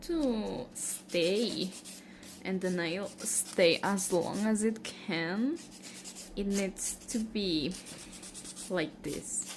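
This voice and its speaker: Through audible room echo and noticeable background noise, a woman with a medium pitch speaks at a very slow pace. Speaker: nail care vlogger. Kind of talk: tutorial. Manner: halting, with fillers.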